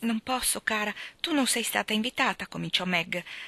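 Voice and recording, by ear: Ordinary pitch variation marks the voice as it is reading aloud in a natural voice.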